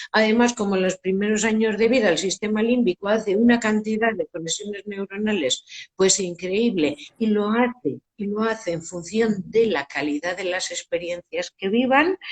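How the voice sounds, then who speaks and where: Somewhat breathy speech at a moderate pace, with ordinary pitch variation and a dry, close sound with no echo. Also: woman, medium pitch for a woman. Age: 60s. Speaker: education expert. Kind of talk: interview. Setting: Instagram live video call.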